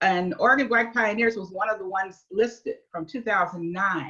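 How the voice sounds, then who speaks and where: This woman's tone is bright and sharp. She talks at a moderate pace. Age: 70s. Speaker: local historian. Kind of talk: talk to club members.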